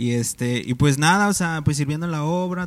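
An ordinary speaking voice from a man, fairly high in pitch, with ordinary pitch variation and a moderate pace, on a very clean recording against a silent background. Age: 20s. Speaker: church volunteer. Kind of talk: casual chat.

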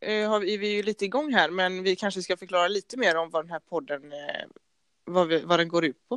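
In an ordinary speaking voice, a woman talks at a fairly quick pace and medium pitch with ordinary pitch variation, the sound dry and close with no echo. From Gothenburg, Sweden (partly Norrland). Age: 20s. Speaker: podcast co-host, handball player. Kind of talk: casual chat.

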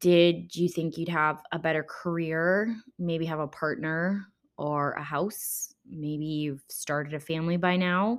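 Speaking very slowly, a woman with an American accent uses a fairly low pitch. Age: 20s. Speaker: podcast host. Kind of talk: casual solo chat. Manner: chatty with frequent fillers.

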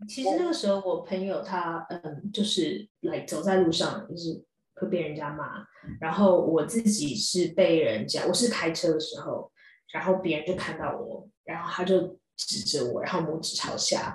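In a Taiwanese accent, a woman talks at a moderate pace with a medium pitch and ordinary pitch variation. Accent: Taiwanese Mandarin. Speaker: dentist and columnist. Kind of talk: casual chat.

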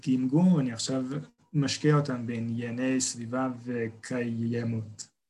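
This man's voice has a medium pitch. His intonation stays fairly even. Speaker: podcast guest who stutters. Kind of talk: casual chat. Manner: halting.

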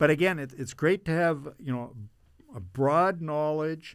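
A man speaks with a Canadian Prairie accent and ordinary pitch variation. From Canada, Brandon, Manitoba. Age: 60s. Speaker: mayor. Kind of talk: interview. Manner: halting, many fillers.

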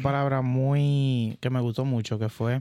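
A man with a Dominican accent talks over noticeable background noise. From Dominican Republic, San Juan de la Maguana. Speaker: tech podcast co-host, IT and telecom professional. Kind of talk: casual chat.

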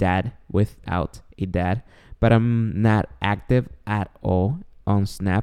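In a Spanish accent, a man speaks at a fairly low pitch with a dark, mellow tone, the sound dry and close with no echo on a very clean recording with a silent background. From Guatemala. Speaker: podcast host. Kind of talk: casual monologue. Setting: home recording late at night. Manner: speaking quietly; joking, self-deprecating.

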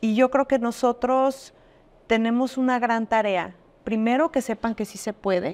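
An ordinary speaking voice with ordinary pitch variation moves at a fairly slow pace, with a dry, close sound with no echo on a very clean recording with a silent background. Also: woman, fairly high pitch for a woman. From Jalisco, Mexico (Arandas). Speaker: businesswoman. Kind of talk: interview.

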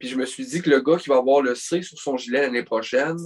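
This man talks at a fairly quick pace. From Quebec. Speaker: hockey podcast co-host. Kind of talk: casual chat.

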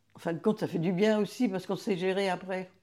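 The recording is very clean, with a silent background. A woman speaks at a moderate pace in a dark, mellow tone. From France, Vendée. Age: 80s+. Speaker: retired childminder, grandmother. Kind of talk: life story interview.

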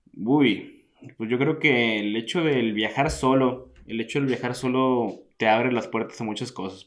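This male speaker's delivery is fairly slow. Ordinary variation marks his pitch. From Mexico, Hermosillo, Sonora. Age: 20s. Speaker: traveller. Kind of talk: interview. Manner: halting.

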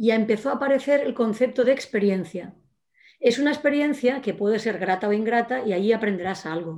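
A woman talks at a fairly quick pace. Her pitch is fairly high, with ordinary pitch variation. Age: 50s. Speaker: former trainee of a creativity course. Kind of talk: casual chat.

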